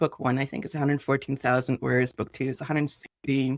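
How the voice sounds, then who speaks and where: This voice keeps a fairly even intonation. It sounds dry and close, without any echo. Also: woman. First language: not English. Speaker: artist and author. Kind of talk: interview. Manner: casual, hesitant.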